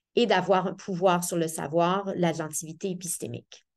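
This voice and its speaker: A woman with a Quebec accent talks at a fairly slow pace, her medium pitch carried by fairly even intonation. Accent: Québécois French. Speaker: professor of education. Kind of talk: seminar talk. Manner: hesitant, many fillers.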